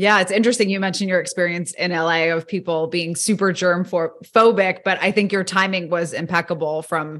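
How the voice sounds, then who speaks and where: A woman with a normal speaking voice, fairly low in pitch, at a fairly quick pace with hardly any pauses and fairly even intonation, over a quiet background. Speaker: podcast host. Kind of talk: interview.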